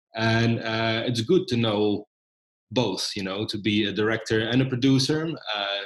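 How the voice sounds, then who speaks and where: Speaking at a moderate pace, a man with a Dutch accent has a medium pitch and ordinary pitch variation. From Netherlands. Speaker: documentary filmmaker. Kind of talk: interview. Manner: frequent hesitations.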